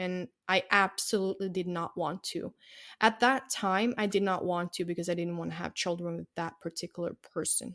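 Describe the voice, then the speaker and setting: A woman speaks at medium pitch and a moderate pace with fairly even intonation. The sound is dry and close, with no echo. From Norway. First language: Norwegian. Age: 30s. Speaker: journalist and news host. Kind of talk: interview. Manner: halting.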